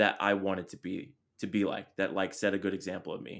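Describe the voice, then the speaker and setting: A man's fairly low-pitched voice comes through on a very clean recording with a silent background. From Chula Vista, San Diego, California. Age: 30s. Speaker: podcast host. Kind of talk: casual chat.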